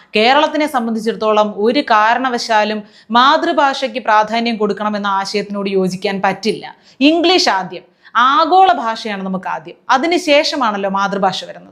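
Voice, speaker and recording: A woman with a normal speaking voice and a fairly high pitch uses lively intonation. The recording is very clean, with a silent background. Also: big swings in loudness. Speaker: political satire commentator. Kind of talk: sarcastic political commentary.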